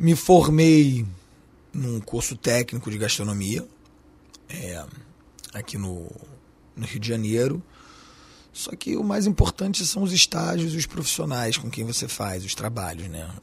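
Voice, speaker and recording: Fairly slow speech with long, frequent pauses, big swings in loudness, very wide pitch swings and a somewhat breathy quality. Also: man, medium pitch for a man. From Switzerland. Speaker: chef and restaurateur. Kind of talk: interview. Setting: studio.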